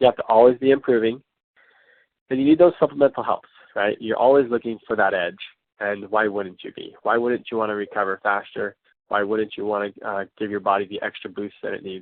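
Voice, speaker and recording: A man of medium pitch talks at a fairly quick pace, his loudness swinging widely. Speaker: wellness class presenter. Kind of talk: online class presentation. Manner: monotone; hesitant, many fillers.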